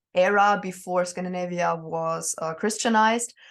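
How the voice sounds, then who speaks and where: Over a quiet background, a woman speaks fairly slowly at a medium pitch, keeping her intonation fairly even. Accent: slight German. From northern Germany, near Danish border. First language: German. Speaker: witch and Norse pagan. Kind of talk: interview. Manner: hesitant, many fillers.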